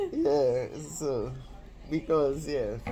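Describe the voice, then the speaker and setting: A woman speaks very slowly in a space with audible echo. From Trinidad, San Fernando. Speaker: online show host. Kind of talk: casual interview chat.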